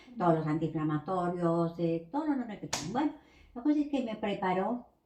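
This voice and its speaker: This woman talks at a moderate pace and medium pitch. Her voice shows very wide pitch swings. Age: 60s. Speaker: pharmacy technician. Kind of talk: interview.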